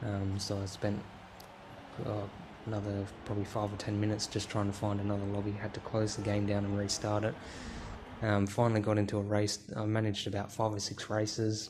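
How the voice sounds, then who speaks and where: With an Australian accent, a man talks at a fairly quick pace and a fairly low pitch. His intonation stays monotone and flat, and audible room echo surrounds him. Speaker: gaming YouTuber. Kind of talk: casual vlog commentary. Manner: hesitant, many fillers.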